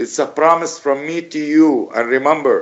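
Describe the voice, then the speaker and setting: With a non-native accent, a man of fairly high pitch talks at a moderate pace and keeps a fairly even intonation. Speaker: bereaved father of a journalist. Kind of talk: radio interview. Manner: emphatic. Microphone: bad connection.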